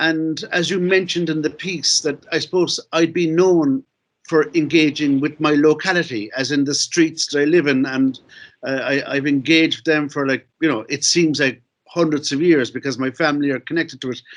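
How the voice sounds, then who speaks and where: In a Cork accent, a man speaks at a fairly high pitch with fairly even intonation. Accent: Cork Irish. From Ireland, Cork City. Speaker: novelist and filmmaker. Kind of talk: conference talk. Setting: video call. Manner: fast; halting.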